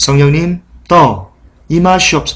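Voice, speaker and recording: A put-on character voice, pitched in the middle, speaks at a fairly slow pace. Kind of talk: religious, formal. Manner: imitative, exaggerated fervor.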